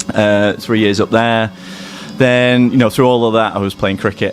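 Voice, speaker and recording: A man with fairly even intonation against noticeable background noise. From northern England (Bury, Lancashire). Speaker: ex-cricketer and physiotherapist. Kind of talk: podcast interview. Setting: gym. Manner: halting, many fillers.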